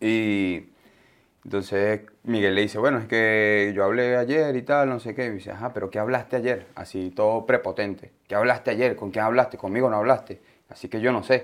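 With a Venezuelan accent, a man speaks at a moderate pace. His medium-pitched voice keeps fairly even intonation. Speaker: podcast co-host. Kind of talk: casual chat.

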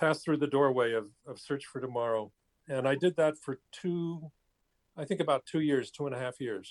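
Here is a man with a plain, everyday voice, fairly high in pitch and lively in intonation. He goes at a moderate pace, and the sound is dry and close with no echo. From New Jersey. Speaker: actor and acting teacher. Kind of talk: interview. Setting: video call.

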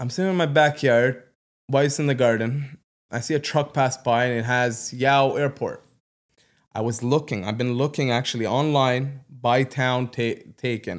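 A man's ordinary speaking voice at a medium pitch, moderate pace and fairly even intonation, on a very clean recording with a silent background. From Canada, Ottawa South. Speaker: entrepreneur. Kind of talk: casual chat. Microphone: too far from the mic.

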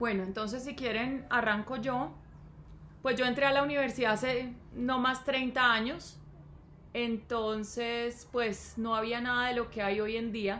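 A woman's high, bright, sharp voice at a fairly slow pace, with fairly even intonation and audible room echo. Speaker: podcast co-host, mother of co-host. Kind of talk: casual chat.

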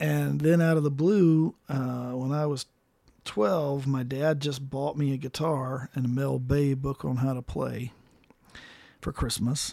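In an unremarkable speaking voice, a man talks at a fairly slow pace at medium pitch with fairly even intonation. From Colorado (rural southwest), born in Mississippi. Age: 40s. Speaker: musician. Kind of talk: casual chat.

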